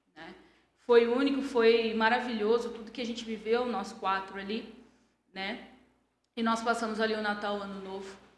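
The speech has a moderate pace and a monotone, flat intonation. Long, frequent pauses break it up, with audible room echo. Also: woman, fairly high pitch for a woman. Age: 30s. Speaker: entrepreneur. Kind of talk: interview. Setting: studio.

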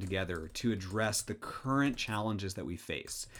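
The speaker is a man with an American accent, talking at a moderate pace. The recording is very clean, with a silent background. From US Pacific Northwest, Seattle. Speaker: engineering professor and dean. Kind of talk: casual interview. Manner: repeats words when starting sentences.

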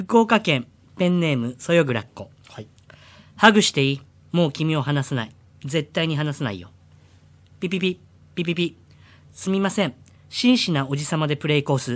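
Over a silent background in a very clean recording, a man with a fairly high pitch talks at a moderate pace, leaving long, frequent pauses. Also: lively intonation. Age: 40s. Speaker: comedian impersonator. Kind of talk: reading listener submissions aloud. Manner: animated.

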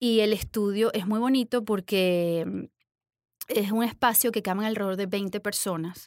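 A woman with a plain, everyday voice, medium pitch and fairly even intonation at a fairly slow pace, in a very clean, dry, close recording with no echo and a silent background. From Venezuela. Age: 40s. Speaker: yoga instructor and business owner. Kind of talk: interview.

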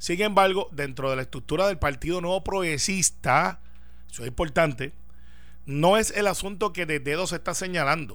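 A high-pitched man at a moderate pace, with ordinary pitch variation and audible room echo. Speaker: senator. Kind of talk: political radio panel discussion.

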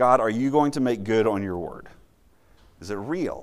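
Audible room echo surrounds a man speaking at a moderate pace, his fairly low pitch carried by lively intonation. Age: 30s. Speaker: campus minister. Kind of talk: sermon.

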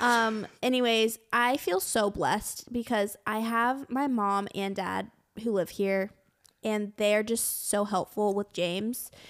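A woman's fairly high voice, very slow in pace, with fairly even intonation. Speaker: podcast co-host. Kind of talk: casual chat. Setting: living room at home.

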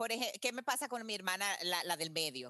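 This woman's voice sits at a medium pitch, with a bright, sharp tone and very wide pitch swings. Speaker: marathon runner and marketing executive. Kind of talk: interview.

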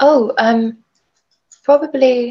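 A woman speaks in a southern English accent with fairly even intonation. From Brighton, southern England. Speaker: author. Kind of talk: casual interview. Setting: video call.

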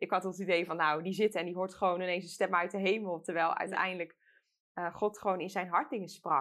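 Against a quiet background, a woman at medium pitch talks at a fairly quick pace in an ordinary speaking voice. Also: fairly even intonation. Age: 20s. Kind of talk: casual chat about faith. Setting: studio.

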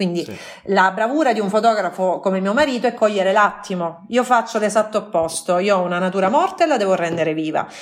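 A woman talks at a very fast pace. Her medium pitch shows ordinary variation. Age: 30s. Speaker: food blogger. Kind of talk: casual chat.

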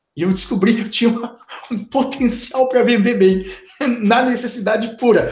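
This man talks with a southern Brazilian accent. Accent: southern Brazilian (gaúcho) Portuguese. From Formigueiro, interior of Rio Grande do Sul, Brazil. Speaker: teacher. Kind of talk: casual interview.

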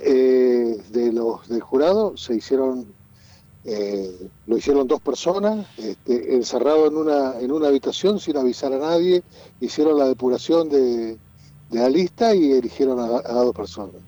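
Speaking at a fairly slow pace, a man with a dark, mellow tone uses lively intonation. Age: 60s. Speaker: lawyer and local politician. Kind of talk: radio interview. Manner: halting.

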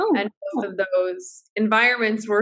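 Bright and sharp in tone, a woman talks with an American accent. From upstate New York. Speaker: startup founder, meditation advocate. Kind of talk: casual interview chat. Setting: video call. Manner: soft, calm.

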